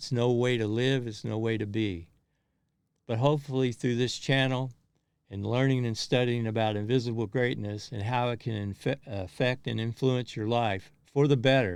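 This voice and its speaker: With a Kentucky accent, a man talks at a moderate pace, his medium-pitched voice keeping a fairly even intonation. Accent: Southern US (Kentucky). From US South, rural Kentucky. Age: 60s. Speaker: motivational vlogger. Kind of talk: personal monologue. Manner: halting.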